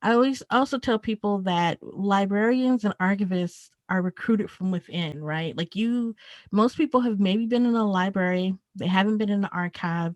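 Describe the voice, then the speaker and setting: A woman with an American accent at medium pitch, moderate pace and ordinary pitch variation, dry and close with no echo, on a very clean recording with a silent background. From rural South Carolina. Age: 30s. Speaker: archivist. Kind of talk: interview. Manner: casual, many fillers.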